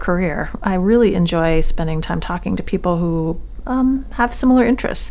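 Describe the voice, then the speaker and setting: Music plays in the background as a woman speaks. Her pace is fairly quick and her intonation lively. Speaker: radio host and family physician. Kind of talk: interview. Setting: studio.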